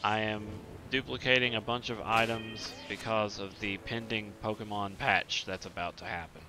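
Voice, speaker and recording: Over music in the background, the speaker talks at a moderate pace in a Southern US accent with fairly even intonation. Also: man, fairly low pitch for a man. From Eastern US. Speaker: video game streamer. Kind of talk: casual chat. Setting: live stream.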